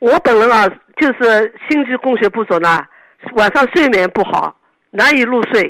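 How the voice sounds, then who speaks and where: Her voice is fairly high for a woman, with lively intonation and very even loudness. She speaks at a fairly slow pace. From Yangzhou, Jiangsu, China. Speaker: radio call-in listener. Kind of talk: phone-in health consultation. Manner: halting, repeating words.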